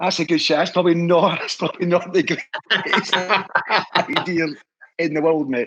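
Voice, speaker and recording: With a Scottish accent and a high pitch, a man speaks in an animated tone at a moderate pace, leaving long, frequent pauses. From Scotland. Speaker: historical society leader. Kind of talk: casual interview chat.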